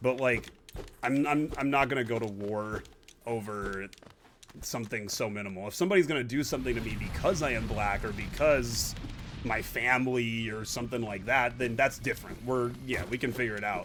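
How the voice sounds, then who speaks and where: The man sounds animated and talks at a fairly quick pace. There is noticeable noise in the background. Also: medium pitch for a man, ordinary pitch variation. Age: 30s. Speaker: gaming streamer. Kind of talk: casual chat.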